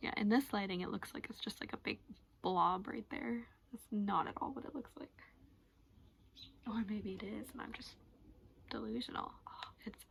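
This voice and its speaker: Soft-spoken and fairly high in pitch, a woman speaks at a moderate pace with lively intonation and long, frequent pauses. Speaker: beauty vlogger. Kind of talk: makeup tutorial chat. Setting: sitting on her floor at home.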